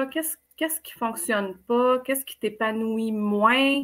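A woman with a Quebec accent at a very slow pace, fairly high in pitch with ordinary pitch variation and a bright, sharp tone. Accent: Québécois French. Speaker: life coach. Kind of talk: casual interview.

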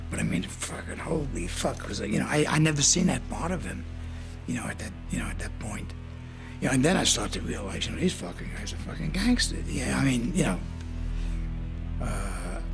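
A man at a fairly quick pace over clear music in the background. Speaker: interviewee. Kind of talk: interview answer. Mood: rough, emotional storytelling. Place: studio.

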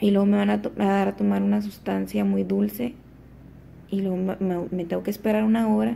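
A woman talks at a moderate pace, her pitch swinging very widely. She leaves long, frequent pauses, with light background noise present. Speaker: vlogger. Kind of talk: casual vlog chat. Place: home room. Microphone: phone near.

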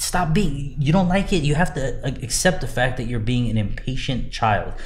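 An ordinary speaking voice with an American accent, moving at a moderate pace with lively intonation. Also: man. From Southern California. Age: 30s. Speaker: car builder and show judge. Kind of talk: casual interview. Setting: in person, seated.

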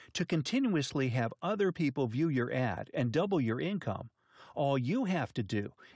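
On a very clean recording with a silent background, a man speaks at a moderate pace with very wide pitch swings and a dry, close sound with no echo. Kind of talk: infomercial sales pitch. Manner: hyped, emphatic, salesman-style delivery.

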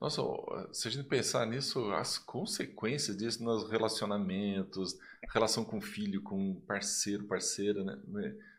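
Speaking fairly slowly, a man uses a fairly low pitch and ordinary pitch variation. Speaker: educator and podcast host; podcast host. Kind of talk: casual interview. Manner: warm, enthusiastic. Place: studio. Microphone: studio mic.

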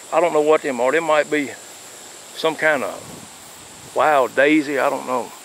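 The sound is dry with no echo, with light background noise. The pace is moderate. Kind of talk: casual narration. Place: open country. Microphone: phone near.

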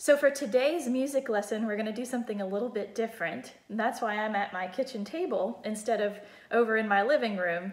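A woman speaks with ordinary pitch variation. Room echo can be heard. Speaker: music teacher. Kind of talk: tutorial. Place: kitchen. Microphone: phone near.

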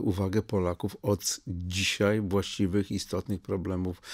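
A man speaks at a fairly low pitch with fairly even intonation. His pace is moderate, and the background is quiet. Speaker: politician guest. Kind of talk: interview answer. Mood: critical, earnest argument. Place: studio. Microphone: studio mic.

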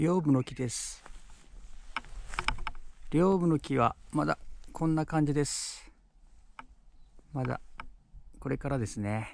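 A man at a fairly slow pace with long, frequent pauses and ordinary pitch variation, dry sound with no echo, and light background noise. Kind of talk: casual vlog chat. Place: forest. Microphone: phone near.

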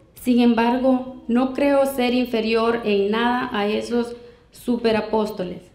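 In a room with audible echo, a woman speaks very slowly in a monotone, flat intonation. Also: fairly high pitch for a woman. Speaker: Bible reader in a debate. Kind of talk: reading aloud. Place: hall. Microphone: handheld.

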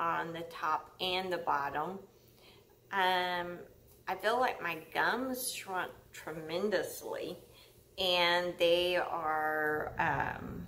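The tone is bright and sharp, with fairly even intonation. Delivery is very slow. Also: woman. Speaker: vlogger. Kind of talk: casual vlog chat. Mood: friendly, chatty. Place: home room. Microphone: webcam.

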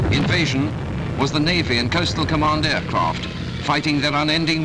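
Over music in the background, a man speaks at a medium pitch and a moderate pace. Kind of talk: newsreel narration. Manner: dramatic, declamatory. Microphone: old recording.

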